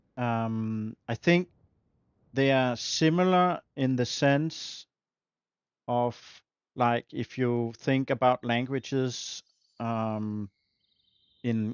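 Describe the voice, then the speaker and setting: A man with a Danish accent talks at a very slow pace. His pitch sits in the medium range. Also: long, frequent pauses. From Denmark. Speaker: video game streamer. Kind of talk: casual live-stream gameplay chat. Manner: halting, many fillers.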